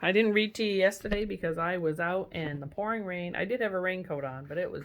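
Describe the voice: This is plain reading aloud. The voice simply reads the text.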